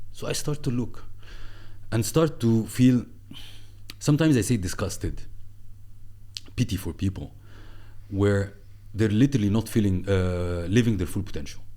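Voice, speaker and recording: A man with an Arabic accent talks at a fairly quick pace, with a dark, mellow tone and lively intonation. He leaves long pauses, and often. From Egypt. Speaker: entrepreneur and former marketing executive. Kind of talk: podcast interview. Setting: studio. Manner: animated.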